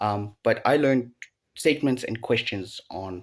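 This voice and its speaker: On a very clean recording with a silent background, a man with a South African accent speaks at a fairly slow pace and a medium pitch, with ordinary pitch variation. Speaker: language learner vlogger. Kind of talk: casual recap vlog. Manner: halting, self-correcting.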